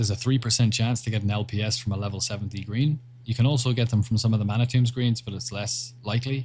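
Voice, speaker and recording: A man's medium-pitched, somewhat breathy voice at a very fast pace, monotone and flat in intonation, with hardly any pauses. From Ireland. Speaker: gaming livestreamer. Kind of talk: casual livestream chat reading viewer messages.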